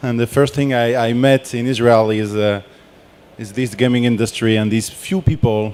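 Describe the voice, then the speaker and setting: Speaking at a moderate pace with a French accent, a man keeps a medium pitch and fairly even intonation. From France. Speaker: game industry researcher and board game creator. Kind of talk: conference presentation.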